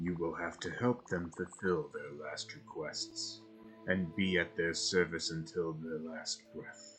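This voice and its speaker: A man uses a put-on character voice with a very deep, low pitch and ordinary pitch variation, speaking at a fairly slow pace. Clear music plays in the background. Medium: actual play. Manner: formal, measured, archaic phrasing.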